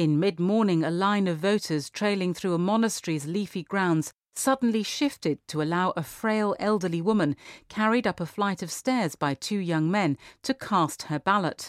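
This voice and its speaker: A normal speaking voice talks at a moderate pace with lively intonation. The sound is dry and close, with no echo. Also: woman, very clean recording, silent background. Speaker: magazine article reader. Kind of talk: formal newsreading, scripted article excerpts read aloud in a steady, sober tone. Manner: even, measured, serious, precise with figures.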